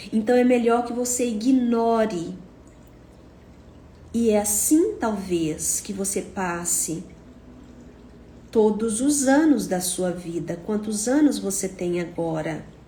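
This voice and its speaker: A woman speaks very slowly in a somewhat breathy voice, with lively intonation and long, frequent pauses. Audible room echo surrounds her. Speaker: psychotherapist. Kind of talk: monologue talk to camera.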